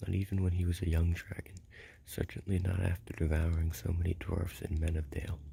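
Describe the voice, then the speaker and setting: A soft-spoken whisper with a soothing tone moves at a fairly quick pace. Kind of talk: ASMR book reading, whispered and soft-spoken. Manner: soft-spoken, soothing, whispered.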